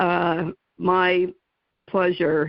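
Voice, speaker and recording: A woman speaks with a New Jersey accent. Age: 60s. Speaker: radio talk show host. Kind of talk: interview. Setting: radio show.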